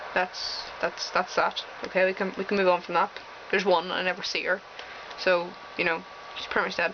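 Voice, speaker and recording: Amid noticeable background noise, a woman with an American accent talks at a medium pitch in a flat monotone, leaving long, frequent pauses. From Northern Ireland. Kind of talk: casual talk to camera.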